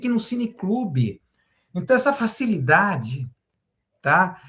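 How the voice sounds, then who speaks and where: The pace is fairly slow, and the pitch swings very widely. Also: man. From Brazil, Santos (São Paulo state coast). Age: 60s. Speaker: university professor and journalist. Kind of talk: commentary monologue to camera. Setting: recorded video, solo to camera. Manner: hesitant, repeats words and fillers.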